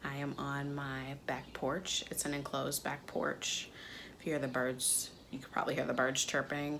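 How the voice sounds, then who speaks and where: A woman with a very deep, low pitch and fairly even intonation, in audible room echo. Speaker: DIY crafts YouTuber. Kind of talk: casual vlog talk to camera. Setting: enclosed back porch, window open.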